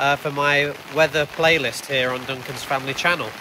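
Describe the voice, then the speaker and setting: A moderate pace in an English accent, with noticeable background noise. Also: man. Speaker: family vlogger. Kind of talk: vlog narration. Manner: casual with fillers.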